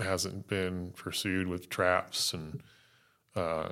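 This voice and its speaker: A man with an American accent speaks in a very deep, low voice with a bright, sharp tone and monotone, flat intonation. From US South (North Carolina, West Virginia). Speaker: wildlife biologist. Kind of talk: casual interview.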